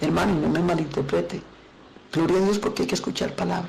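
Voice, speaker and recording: As a woman talks, audible room echo and noticeable background noise are present. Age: 60s. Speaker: pastor. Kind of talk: sermon.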